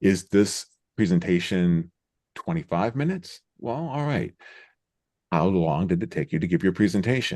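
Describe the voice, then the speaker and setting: Against a quiet background, a man with a fairly low, dark, mellow voice speaks in a calm, relaxed tone, with very wide pitch swings and long, frequent pauses. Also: moderate pace. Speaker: Zoom trainer and host. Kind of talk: Q&A session. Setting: video call livestream.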